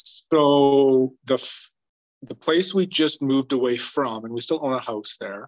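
This is a man's voice at a medium pitch. His intonation stays fairly even. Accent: Canadian. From British Columbia, Canada. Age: 30s. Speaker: elk hunter. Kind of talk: casual chat.

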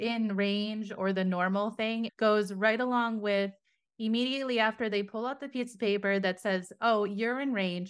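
A woman speaks in a plain, everyday voice at a moderate pace, her fairly high pitch held to fairly even intonation on a very clean recording with a silent background. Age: 40s. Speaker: podcast host and mindset coach. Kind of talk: scripted monologue intro; casual interview chat.

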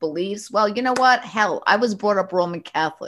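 The speaker has a slight New York accent. The intonation is lively. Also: woman. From New York, Westchester County. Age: 60s. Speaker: bridal shop owner. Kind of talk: interview. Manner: animated.

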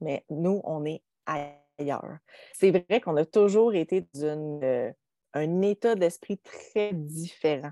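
With a Quebec accent, a woman speaks very slowly at a fairly low pitch in a dark, mellow tone, with ordinary pitch variation, long, frequent pauses and a dry, close sound with no echo. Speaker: podcast host and entrepreneur. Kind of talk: casual chat. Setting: video call.

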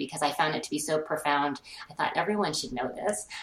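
A woman with an American accent, very fast and lively in intonation, over noticeable background noise. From Colorado, US. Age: 50s. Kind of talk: interview.

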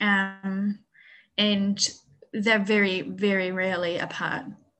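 In a New Zealand accent, a woman speaks very slowly with monotone, flat intonation. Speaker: bear sanctuary manager. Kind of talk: interview.

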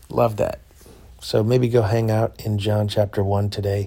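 Keeping a moderate pace and fairly even intonation, a man talks in a dark, mellow, fairly low voice. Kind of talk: casual monologue. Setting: hotel room.

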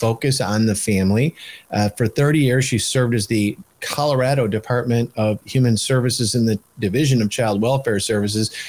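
With an American accent, a man talks at a fairly quick pace in a medium pitch, with fairly even intonation, very even loudness and a dry, close sound with no echo. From Michigan. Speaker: podcast host and policy organization leader. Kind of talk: interview. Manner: halting, many fillers and repeats.

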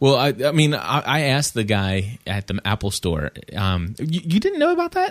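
A man talks at a fairly quick pace with very wide pitch swings and hardly any pauses. The sound is dry and close with no echo, on a very clean recording with a silent background. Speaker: podcast host. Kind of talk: casual chat.

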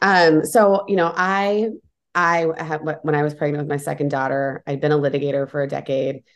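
With an American accent, a woman speaks at a moderate pace in a very deep, low pitch, showing ordinary pitch variation. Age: 40s. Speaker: entrepreneur and advocate against a tech giant. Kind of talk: interview.

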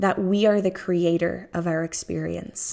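Very slowly, a woman with an American accent speaks at a fairly low pitch in a dark, mellow tone with fairly even intonation. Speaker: fertility coach. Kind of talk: solo podcast monologue. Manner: effusive.

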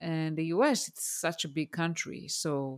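A woman with an Israeli accent speaks at a very deep, low pitch, in a dry, close sound with no echo on a very clean recording with a silent background. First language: Hebrew. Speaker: career coach and mentor, former engineering manager. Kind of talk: interview.

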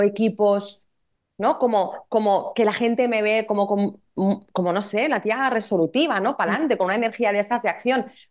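A woman with an ordinary speaking voice talks at a fairly quick pace, her fairly high pitch showing ordinary pitch variation. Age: 40s. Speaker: women's therapist and coach. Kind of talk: casual interview chat.

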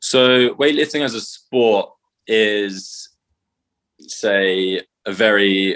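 A man speaks at a fairly low pitch in a bright, sharp tone with fairly even intonation. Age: 20s. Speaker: CrossFit coach and athlete. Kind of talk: casual interview.

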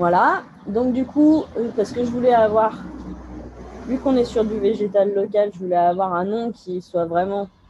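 Fairly high-pitched speech from a woman at a moderate pace, with ordinary pitch variation, long, frequent pauses and noticeable background noise. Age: 30s. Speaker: tree nursery grower. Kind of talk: interview. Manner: halting.

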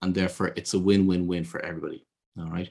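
A man with a Dublin accent on a very clean recording with a silent background. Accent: Irish (Dublin). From Ireland. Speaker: business consultant and intuitive advisor. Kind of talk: interview. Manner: hesitant, with fillers and repeated words.

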